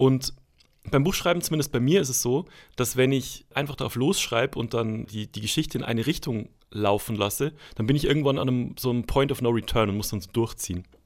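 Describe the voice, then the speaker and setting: Speaking at a fairly quick pace in an unremarkable speaking voice, a man at medium pitch uses ordinary pitch variation in a very clean recording with a silent background. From Bavaria (Schwandorf, Upper Palatinate). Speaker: author and comedy writer. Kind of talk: interview.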